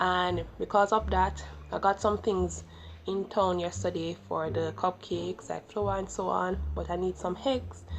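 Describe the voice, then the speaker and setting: This woman speaks with a Jamaican accent. Her pace is fairly slow. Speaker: YouTuber. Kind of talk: vlog.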